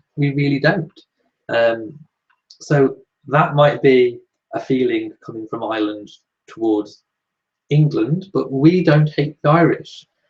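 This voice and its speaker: A man talks at a fairly slow pace with long, frequent pauses and a fairly high pitch. His voice is somewhat breathy, with ordinary pitch variation. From Shropshire, English Midlands. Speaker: royal news YouTuber. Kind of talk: live Q&A chat reading viewer comments. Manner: casual, many filler ums.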